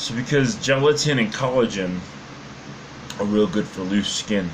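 A man talks at a moderate pace. Background noise is noticeable. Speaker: fitness vlogger. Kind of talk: casual vlog chat. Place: home room.

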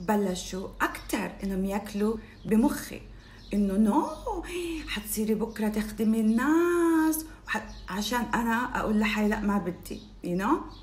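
Amid noticeable background noise and audible room echo, a woman with a fairly high pitch speaks slowly in an animated tone with lively intonation. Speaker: life coach. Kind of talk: motivational talk.

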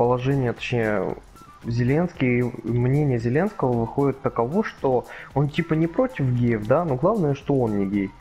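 Music plays in the background. The speech is fairly slow, with ordinary pitch variation. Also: man, medium pitch for a man, very even loudness. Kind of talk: casual gaming commentary.

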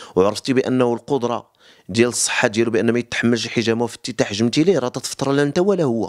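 Speaking very fast with a Moroccan accent, a man keeps a medium pitch and ordinary pitch variation over a quiet background. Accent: Moroccan Arabic (Darija). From Morocco. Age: 30s. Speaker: cupping therapist. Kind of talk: interview explanation. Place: home room. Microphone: handheld.

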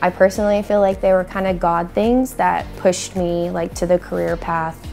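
Faint music plays in the background as a woman talks at a fairly low pitch with fairly even intonation. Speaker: assistant athletic trainer. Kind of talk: interview answer. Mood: warm, smiling. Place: studio.

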